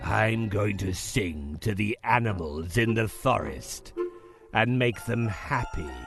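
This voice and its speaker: A man's put-on character voice, fairly low and menacing, at a fairly slow pace over clear background music. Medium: read story. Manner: sly and menacing.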